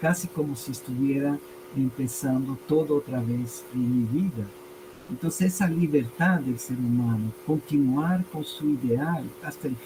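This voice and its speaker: At a fairly slow pace, a man speaks at medium pitch with ordinary pitch variation over noticeable background noise. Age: 60s. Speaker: language teacher and entrepreneur. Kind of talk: interview conversation.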